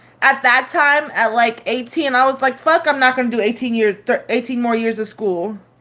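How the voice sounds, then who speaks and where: Speaking at a moderate pace with hardly any pauses, a woman has a high pitch, ordinary pitch variation and a bright, sharp tone. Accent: Northern California. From San Francisco, California (moved from Turkey at six). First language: Turkish. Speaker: live streamer. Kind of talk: casual live stream chat. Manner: halting, many fillers.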